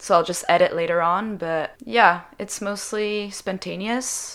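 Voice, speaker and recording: Speaking with a French accent, a woman keeps a fairly even intonation at a fairly slow pace. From Switzerland. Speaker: singer-songwriter. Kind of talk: interview.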